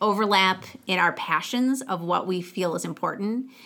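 With an American accent, a woman speaks with vocal fry and ordinary pitch variation. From Michigan, Genesee County near Flint. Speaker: school head. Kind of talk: interview.

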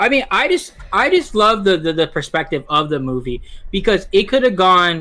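Raising and projecting his high-pitched voice, a man speaks at a moderate pace in a bright, sharp tone with very wide pitch swings. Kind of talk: casual banter podcast.

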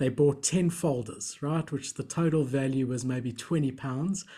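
A man's somewhat breathy voice, fairly high in pitch with a dark, mellow tone, comes through a very clean recording with a silent background. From South Africa. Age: 30s. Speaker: entrepreneur and collector. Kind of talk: casual interview chat.

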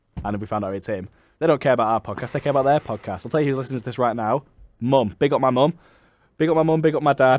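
A man with a Mancunian accent, medium pitch, ordinary pitch variation and a very fast pace. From Manchester, England. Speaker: podcast host. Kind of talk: casual chat.

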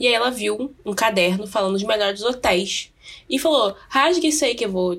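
A woman with a plain, everyday voice talks at a moderate pace, her intonation lively. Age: 20s. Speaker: podcast co-host. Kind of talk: casual chat.

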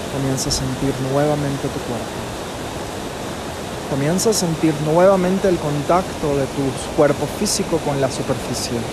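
Speaking at a fairly slow pace, a man uses a calm, soothing tone with ordinary pitch variation over noticeable background noise. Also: fairly high pitch for a man, hardly any pauses. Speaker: yoga nidra guide. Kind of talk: guided meditation, yoga nidra. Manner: slow, calm, soothing, with long pauses; gentle, measured, instructional, hushed.

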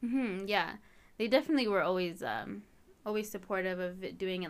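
A woman talks at a moderate pace in a medium pitch, with a Canadian accent. She has an unremarkable speaking voice. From Canada, Edmonton. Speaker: university student and home cake baker. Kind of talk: casual interview.

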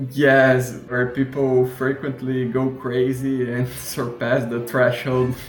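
A man with a Portuguese accent in monotone, flat intonation at a very slow pace with hardly any pauses, plus audible room echo and noticeable background noise. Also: medium pitch for a man. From southern Brazil, Curitiba. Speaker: podcast host. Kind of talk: interview answers, casual chat.

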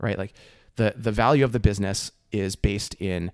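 Very clean recording of a man with an American accent, the background silent. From New Jersey. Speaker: venture capital investor. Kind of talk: casual chat.

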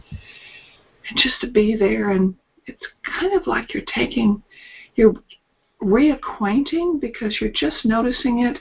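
A woman with an American accent at a fairly high pitch, speaking at a very slow pace with long, frequent pauses. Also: lively intonation. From US South, mountains of Virginia (Appalachia). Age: 70s. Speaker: brain retraining coach. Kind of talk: interview, with guided exercise.

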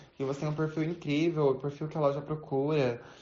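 Noticeable background noise and audible room echo accompany a woman talking at a fairly quick pace in a very deep, low pitch. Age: 20s. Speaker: retail saleswoman. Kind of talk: recorded testimony.

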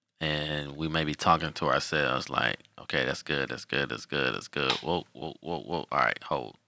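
A man with an American accent speaks at a moderate pace in a very deep, low pitch, with vocal fry and a bright, sharp tone. His intonation stays fairly even, with hardly any pauses, in a dry, close sound with no echo. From Detroit, Michigan. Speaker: football official. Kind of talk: casual interview.

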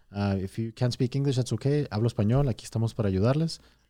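This man has a dark, mellow tone at medium pitch with ordinary pitch variation. The recording is very clean, with a silent background. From Mexico, then El Paso from age eight. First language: Spanish. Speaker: car dealership general manager. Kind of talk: casual interview. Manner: halting, many fillers.

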